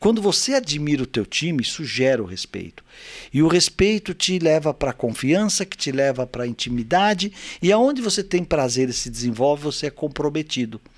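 A man with an ordinary speaking voice talks at a moderate pace with lively intonation on a very clean recording with a silent background. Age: 60s. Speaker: business executive and teacher. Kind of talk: interview excerpt, leadership advice.

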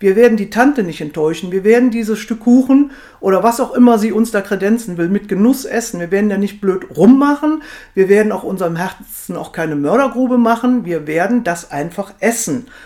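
At a fairly quick pace, a woman with fairly high pitch and a dark, mellow tone speaks with lively intonation. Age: 50s. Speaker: weight management coach. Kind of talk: podcast monologue.

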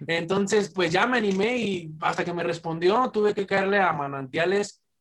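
His pace is fairly slow. The man's pitch shows ordinary variation. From Mexico, Michoacán (Zamora). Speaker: rapper. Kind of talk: casual chat.

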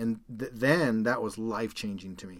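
A man speaks at a moderate pace in an ordinary speaking voice, medium in pitch, on a very clean recording with a silent background. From Calgary, Canada. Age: 40s. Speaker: podcast host, endurance athlete. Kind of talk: casual chat.

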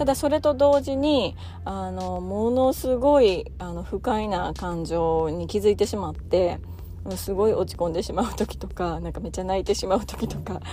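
A woman talks at a moderate pace. Her loudness swings widely. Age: 30s. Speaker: parenting podcast host, mother of three. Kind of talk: casual solo talk.

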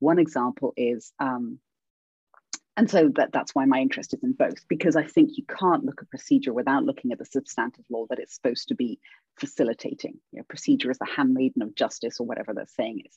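A woman with a British accent talks at a very fast pace, her loudness swinging widely, in a dry, close recording with no echo. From England. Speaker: law professor. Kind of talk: interview conversation.

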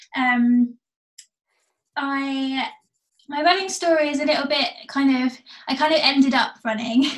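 In an English accent, a woman speaks with a high pitch and ordinary pitch variation. Her pace is fairly slow, with long, frequent pauses. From England, seaside. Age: 20s. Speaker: amateur runner. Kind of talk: casual interview.

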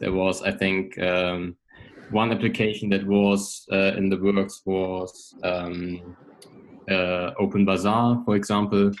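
A man at a very slow pace, fairly low in pitch, with monotone, flat intonation. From Germany. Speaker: tech startup co-founder. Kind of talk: interview. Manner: hesitant, many fillers.

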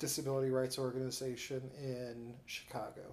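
In a Midwestern US accent, a man talks at a moderate pace in a dark, mellow tone and medium pitch. Audible room echo surrounds his voice. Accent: US Midwest. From Peoria, Illinois. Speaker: activist and journalist. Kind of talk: casual interview.

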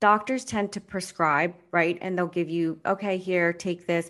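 A woman with a normal speaking voice at medium pitch, fairly even intonation and a quiet background. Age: 40s. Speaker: life coach. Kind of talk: casual chat.

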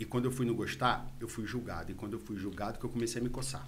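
There's vocal fry in this man's medium-pitched voice as he talks at a fairly quick pace. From Rio de Janeiro city, Brazil. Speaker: entrepreneur. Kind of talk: casual interview. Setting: studio.

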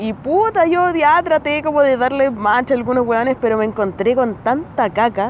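Noticeable background noise sits behind a woman with a Chilean accent. Her high-pitched voice has lively intonation and moves at a fairly slow pace. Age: 20s. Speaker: comedian. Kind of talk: casual chat. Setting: outdoors.

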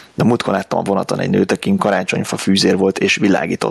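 A man speaks at a moderate pace, recorded dry and close with no echo, over noticeable background noise. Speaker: IT professional, podcast co-host. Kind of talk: casual chat.

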